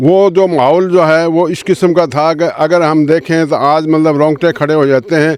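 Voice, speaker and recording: The delivery is monotone and flat, at very even loudness. It moves at a moderate pace with hardly any pauses. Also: man, fairly high pitch for a man. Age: 70s. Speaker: war veteran. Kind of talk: interview.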